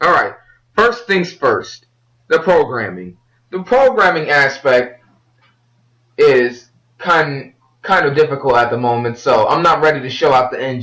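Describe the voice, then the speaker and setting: This man has a fairly high voice with very wide pitch swings and an energetic tone. He moves at a fairly slow pace, with long, frequent pauses. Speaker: solo game developer. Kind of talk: unscripted devlog. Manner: halting, some stuttering; casual, energetic.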